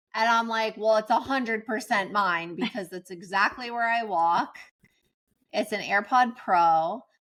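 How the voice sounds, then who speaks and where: In a very clean recording with a silent background, a woman speaks at a fairly high pitch and a fairly slow pace with ordinary pitch variation. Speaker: podcast co-host. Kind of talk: casual chat. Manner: loud.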